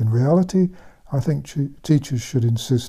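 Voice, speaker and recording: A man's voice is somewhat breathy with a dark, mellow tone. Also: quiet background. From England. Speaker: author and former general practitioner. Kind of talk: commentary monologue. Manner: calm, laid back. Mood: indignant, scornful. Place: home room.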